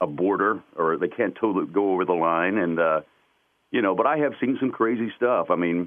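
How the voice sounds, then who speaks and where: The speech moves at a fairly quick pace with lively intonation. Its loudness stays very even. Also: man, fairly low pitch for a man. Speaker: radio and TV station voiceover announcer. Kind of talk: interview answer.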